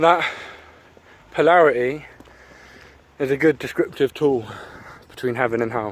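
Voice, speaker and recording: There is noticeable background noise as a man with an English accent talks with ordinary pitch variation. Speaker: YouTuber. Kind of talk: casual monologue. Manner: halting.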